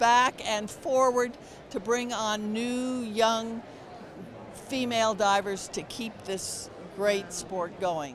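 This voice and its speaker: Amid noticeable background noise, a woman speaks at a very slow pace in a dry sound with no echo. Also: ordinary pitch variation. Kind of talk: interview answer. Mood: warm, enthusiastic. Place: hall. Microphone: handheld.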